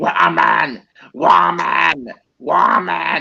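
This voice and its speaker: A man's medium-pitched voice is a put-on character voice. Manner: wild, shouting, growly.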